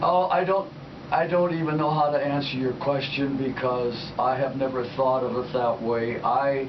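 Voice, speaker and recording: A man speaks at a moderate pace, fairly high in pitch with fairly even intonation. Audible room echo and noticeable background noise come through. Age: 80s+. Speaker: war veteran. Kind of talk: radio interview. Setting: studio.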